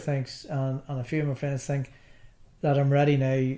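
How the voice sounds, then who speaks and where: A man's fairly high voice with a Northern Irish accent, over noticeable background noise. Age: 60s. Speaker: darts player, cancer survivor. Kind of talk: interview. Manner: halting.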